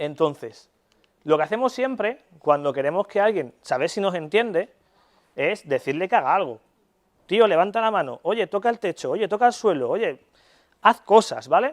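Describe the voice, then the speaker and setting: A man with a high pitch speaks in an animated tone. The recording is very clean with a silent background, with a dry, close sound and no echo. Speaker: neuropsychologist. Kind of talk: lecture. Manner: fast.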